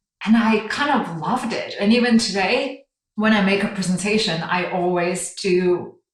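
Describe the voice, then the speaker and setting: A woman with a Chinese accent, medium pitch and ordinary pitch variation. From China. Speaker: brand design director. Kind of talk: interview.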